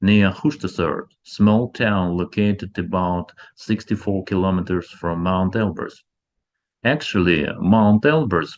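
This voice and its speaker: A man with a former Soviet accent speaks at a fairly slow pace in a very deep, low pitch against a quiet background. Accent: former Soviet Union. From former Soviet Union. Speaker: ufology researcher and channel host. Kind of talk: documentary-style narration.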